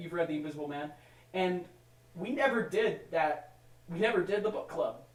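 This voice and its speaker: Loud and high-pitched, a man speaks at a moderate pace with lively intonation over noticeable background noise. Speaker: podcast host. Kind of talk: casual chat.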